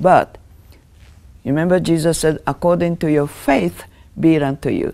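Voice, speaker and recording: Speaking with a Japanese accent, a woman has a dark, mellow tone and a fairly low pitch. Her pitch variation is ordinary. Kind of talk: Bible teaching talk. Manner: earnest, emphatic, declarative; earnest, explanatory, with hesitations. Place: studio. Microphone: lapel.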